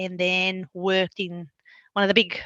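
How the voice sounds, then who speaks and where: A woman with a Bulgarian accent speaks at a medium pitch and fairly slow pace in a bright, sharp tone. The sound is dry and close with no echo, over a quiet background. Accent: Bulgarian accent, noticeable. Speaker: local government manager. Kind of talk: interview. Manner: halting.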